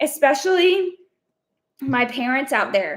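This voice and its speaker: Loud and energetic, a woman with an American accent talks with lively intonation on a very clean recording with a silent background. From Texas. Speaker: online business coach. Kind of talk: live stream.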